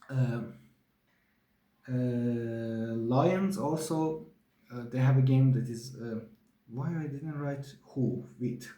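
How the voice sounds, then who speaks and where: Speaking at a very slow pace with long, frequent pauses, a man uses a dark, mellow, somewhat breathy tone and ordinary pitch variation, with audible room echo around him. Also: medium pitch for a man. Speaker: sports show host. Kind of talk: solo sports review monologue. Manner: halting, many fillers.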